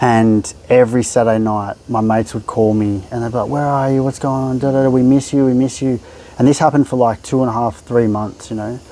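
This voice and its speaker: A man at medium pitch, talking at a fairly quick pace with fairly even intonation. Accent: Australian. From Melbourne, Australia. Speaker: therapist. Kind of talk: podcast interview. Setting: house in Bali.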